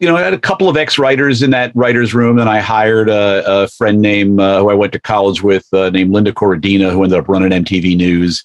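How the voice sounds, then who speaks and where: A man with an American accent and an unremarkable speaking voice talks at a fairly quick pace in a fairly low pitch, his loudness very even. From US. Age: 60s. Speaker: television executive. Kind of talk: casual chat.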